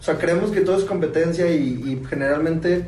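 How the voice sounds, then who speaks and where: Noticeable background noise and audible room echo around a man with a fairly high pitch, ordinary pitch variation and a moderate pace. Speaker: podcast co-host. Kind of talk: casual chat.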